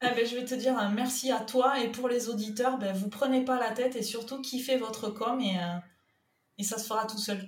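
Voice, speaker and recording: Audible room echo surrounds a woman speaking at a moderate pace with a fairly high pitch and monotone, flat intonation. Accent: southern French. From southern France, Toulouse. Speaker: freelance content manager and web writer. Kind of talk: podcast interview.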